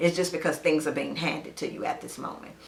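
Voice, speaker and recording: A woman speaks in an animated tone. Noticeable background noise and audible room echo are present. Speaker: reality TV commentator. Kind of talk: solo video commentary.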